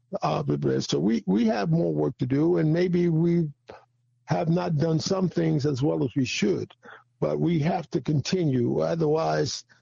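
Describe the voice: The tone is dark and mellow, with vocal fry and a slightly husky edge. Pitch variation is ordinary, and the pace is fairly slow. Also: man, fairly high pitch for a man.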